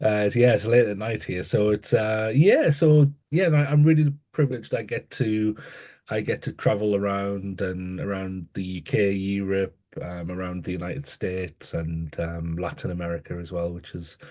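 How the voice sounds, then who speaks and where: Against a quiet background, a man with a northeast English accent and a dark, mellow tone speaks at a moderate pace with lively intonation. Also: fairly low pitch for a man. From northeast England, Newcastle. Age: 30s. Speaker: educator and author. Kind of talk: interview conversation. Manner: halting, many repetitions and fillers.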